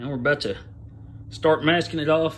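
This man's voice is somewhat breathy, and he keeps a moderate pace. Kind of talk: casual how-to narration. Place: garage. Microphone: phone near.

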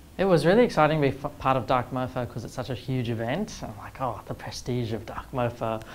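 Over light background noise, someone with an Australian accent speaks at a fairly quick pace. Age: 20s. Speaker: artist and filmmaker. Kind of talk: interview. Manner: casual, with filler words. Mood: relaxed, enthusiastic. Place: studio.

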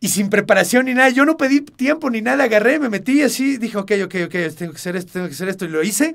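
A very fast, high-pitched male voice with lively intonation and hardly any pauses. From Mexico, part of childhood in El Paso, Texas. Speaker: actor. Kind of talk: interview.

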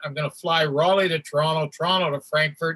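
A man with a Canadian accent speaks at a high pitch. His intonation is fairly even. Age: 60s. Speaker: hockey athletic trainer and stand-up comedian. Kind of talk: casual interview with storytelling.

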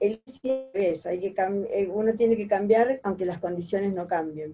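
Over faint background music, a woman talks at a fairly slow pace in a dark, mellow tone with fairly even intonation. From Argentina, Mercedes (Buenos Aires province); Buenos Aires province, Argentina. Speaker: singer; interviewee. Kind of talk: interview. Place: home room. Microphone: video call.

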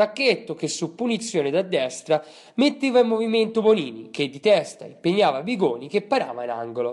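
The pitch swings very widely. Delivery comes at a fairly quick pace. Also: man. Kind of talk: sports commentary. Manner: formal, steady play-by-play recap in past tense; brisk, matter-of-fact, reading off minute-by-minute events.

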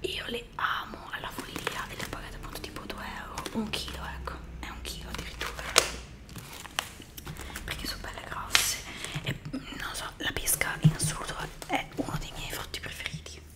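A woman whispers in a relaxed tone with big swings in loudness. Long, frequent pauses break up her speech. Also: moderate pace. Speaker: ASMR content creator; ASMR creator. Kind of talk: whispered ASMR talk to camera. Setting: close microphone, home recording. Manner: whispered, soft, relaxed. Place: home room. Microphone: studio mic.

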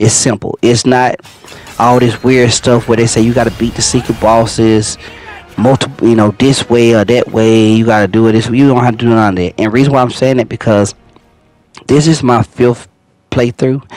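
Here a man talks at medium pitch and a moderate pace. His intonation is monotone and flat. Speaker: gaming video creator. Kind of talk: gameplay tutorial. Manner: casual, conversational.

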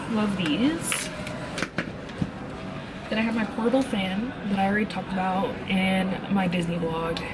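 A woman at a moderate pace with ordinary pitch variation, over loud background noise. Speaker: travel vlogger. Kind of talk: casual vlog chat. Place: station. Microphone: phone near.

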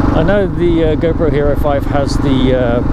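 Loud background noise surrounds fairly slow speech that has a dry sound with no echo. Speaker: motorbike rider vlogger. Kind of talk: casual vlog chat. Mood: relaxed storytelling. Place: motorbike. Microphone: helmet.

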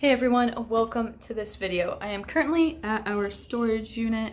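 Pitch moves in an ordinary way for this speaker, a woman. Her pace is moderate. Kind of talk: casual vlog chat. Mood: cheerful, upbeat. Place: street. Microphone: phone near.

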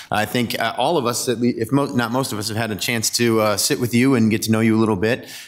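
A man with an American accent at a very fast pace, hardly any pauses and fairly even intonation, over a quiet background. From US Midwest. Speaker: mayor chairing city council. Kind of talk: formal public meeting. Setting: council chambers. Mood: warm, appreciative. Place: hall. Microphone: podium.

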